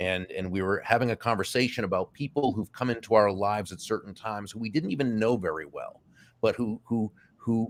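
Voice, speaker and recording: An unremarkable speaking voice from a man, medium in pitch, fairly quick, with ordinary pitch variation. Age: 60s. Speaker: author and speaker. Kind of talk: interview.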